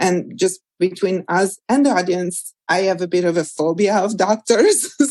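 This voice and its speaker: A woman with an Italian accent at a fairly slow pace. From Italy, small mountain village. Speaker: nutritionist and cookbook author. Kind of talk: interview conversation.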